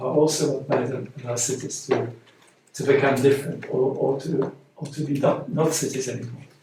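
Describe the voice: A put-on character voice, hoarse and monotone with flat intonation, at a moderate pace with audible echo. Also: man, medium pitch for a man.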